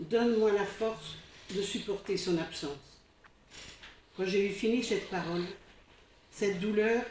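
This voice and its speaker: A woman's medium-pitched voice at a fairly slow pace, with ordinary pitch variation, long, frequent pauses and audible room echo. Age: 60s. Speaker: church member giving testimony. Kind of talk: testimony. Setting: church congregation. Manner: halting.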